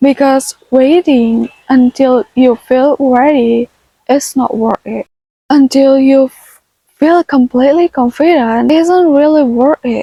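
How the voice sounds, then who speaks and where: Speaking very slowly, a woman uses a high pitch and a gentle tone. Her intonation stays fairly even. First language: not English. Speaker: self-taught English learner. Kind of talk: casual talk to camera. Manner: gentle, soft-spoken.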